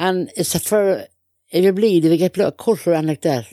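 A woman speaks at a medium pitch and a fairly quick pace with a dark, mellow tone. The sound is dry and close, with no echo. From Ireland. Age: 70s. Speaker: interviewee, Irish Traveller mother. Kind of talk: life story interview. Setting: in a caravan.

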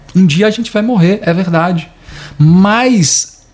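A man with a Brazilian accent amid noticeable background noise. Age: 30s. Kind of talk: reflective monologue.

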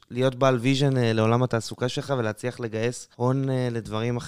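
A man's normal speaking voice, medium in pitch, at a moderate pace, with a dry, close sound and no echo. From Israel, southern Sharon. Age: 20s. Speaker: university student. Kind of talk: casual interview.

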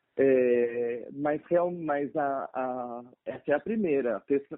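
This man's fairly high voice carries lively intonation. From São Paulo, Brazil. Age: 20s. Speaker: medical student. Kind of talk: casual interview. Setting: phone call. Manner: halting.

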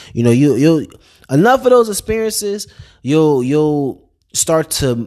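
A man speaks at a fairly high pitch in an ordinary speaking voice. His intonation is lively and his pace moderate. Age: 20s. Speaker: podcast host and Marine. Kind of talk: solo motivational monologue. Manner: casual, with many fillers and repetitions.

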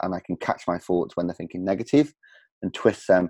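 Very deep and low in pitch, a man speaks at a very fast pace with a dark, mellow tone. The sound is dry and close with no echo, over a quiet background. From England, working-class city. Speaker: podcast host and coach. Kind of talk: interview.

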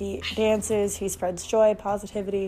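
Behind this woman's speech there is noticeable background noise. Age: 20s. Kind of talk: casual solo monologue. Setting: at home, early morning.

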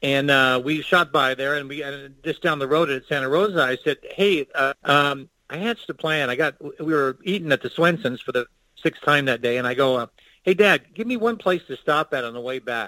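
With an American accent, a man with a fairly high pitch and a bright, sharp tone speaks at a moderate pace with ordinary pitch variation, in a dry, close sound with no echo. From Arizona. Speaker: artist and Old West historian. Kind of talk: casual interview chat. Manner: animated.

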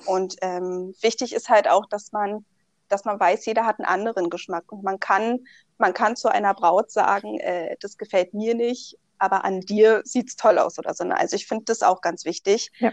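The woman has an unremarkable speaking voice at medium pitch with fairly even intonation. The sound is dry and close with no echo, against a quiet background. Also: moderate pace. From Berlin, Germany. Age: 20s. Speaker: bride, insurance clerk. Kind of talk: interview.

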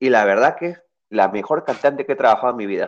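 This is a man with an ordinary speaking voice. He talks fairly quickly with lively intonation. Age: 30s. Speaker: guitarist and music producer. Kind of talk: casual interview.

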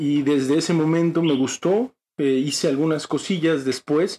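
A man speaks in an ordinary speaking voice at a moderate pace. His pitch is fairly high, with ordinary variation. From Mexico, Chiapas (Tuxtla Gutiérrez). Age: 20s. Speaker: theatre actor and director. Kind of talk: interview. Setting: studio.

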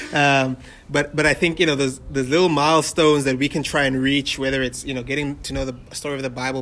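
Over noticeable background noise, a medium-pitched man talks at a very fast pace with monotone, flat intonation. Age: 20s. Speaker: podcast host. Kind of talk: casual interview. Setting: new recording location, poor audio.

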